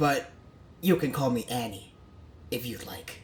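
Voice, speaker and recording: Clear background noise runs under the recording. A man performs in a put-on character voice. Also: medium pitch for a man, moderate pace. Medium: read story.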